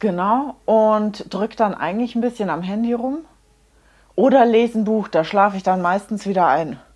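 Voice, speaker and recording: A woman speaks at a moderate pace in an ordinary speaking voice. Her pitch is fairly high, with ordinary pitch variation. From Munich. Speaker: hairdresser and make-up artist, podcast co-host. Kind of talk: casual chat.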